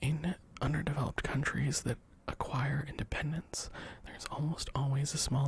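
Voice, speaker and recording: Whispering at a moderate pace. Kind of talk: ASMR book reading. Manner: soft-spoken, whispery.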